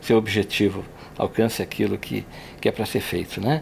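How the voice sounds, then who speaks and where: A man talks at a moderate pace with very wide pitch swings. His voice shows vocal fry. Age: 60s. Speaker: engineer. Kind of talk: personal reflection in podcast.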